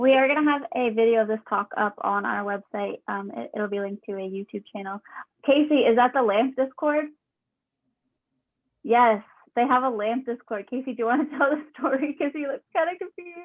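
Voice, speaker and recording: This woman's high-pitched voice carries lively intonation as she talks at a fairly quick pace. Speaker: engineering student club organizer. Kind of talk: casual online meeting wrap-up.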